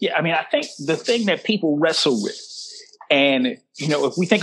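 A man speaks with an American accent in an ordinary speaking voice. His pitch is fairly high and his intonation lively. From Chicago. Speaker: professor. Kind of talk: casual chat.

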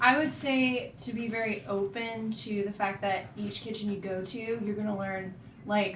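Someone with an American accent speaks with fairly even intonation, amid noticeable background noise and audible room echo. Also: woman. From Florida, Orlando area. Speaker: pastry chef. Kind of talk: casual interview.

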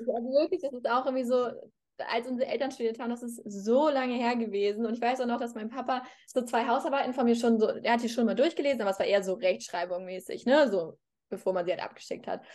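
A woman's high voice at a very fast pace, with ordinary pitch variation and a quiet background. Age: 20s. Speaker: law graduate and social media creator. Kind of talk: casual chat.

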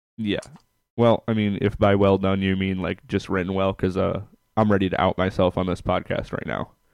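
Against a quiet background, a man with a very deep, low pitch talks at a fairly quick pace in monotone, flat intonation. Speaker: podcast host. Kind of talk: casual interview chat.

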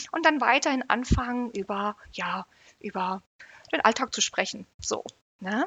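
The speaker moves at a fairly slow pace with lively intonation. Pauses are long and frequent. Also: woman, fairly high pitch for a woman. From Great Britain. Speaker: psychotherapy practitioner. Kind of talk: interview.

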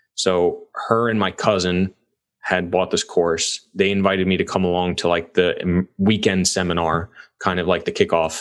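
The man's pitch is very deep and low. His intonation stays monotone and flat. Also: moderate pace. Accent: American. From New York. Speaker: real estate investor. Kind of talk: casual interview.

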